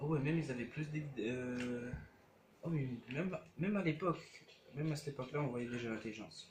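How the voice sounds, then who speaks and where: Soft-spoken and fairly high in pitch, a man talks at a fairly quick pace with ordinary pitch variation and long, frequent pauses, with audible room echo around him. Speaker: gaming youtuber. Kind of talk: let's play commentary. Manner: hesitant, many fillers.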